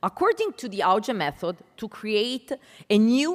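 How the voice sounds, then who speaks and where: Speech comes in an Italian accent at a fairly slow pace. The pitch swings very widely. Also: woman. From Italy. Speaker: panel moderator, English language educator. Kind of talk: conference panel introduction.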